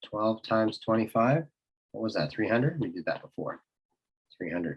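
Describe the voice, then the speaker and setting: A man talks at a medium pitch and a moderate pace in a plain, everyday voice. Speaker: math teacher. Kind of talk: tutorial. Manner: casual, self-correcting.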